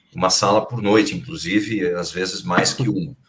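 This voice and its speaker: A man's somewhat breathy voice carries lively intonation at a moderate speed. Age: 50s. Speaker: actor and voice announcer. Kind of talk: casual chat.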